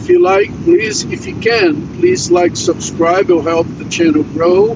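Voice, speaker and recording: Over noticeable background noise, a man speaks in a high pitch at a fairly slow pace. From Brazil, Minas Gerais. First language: Portuguese. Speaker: truck driver vlogger. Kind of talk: casual livestream chat. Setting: in a truck while driving.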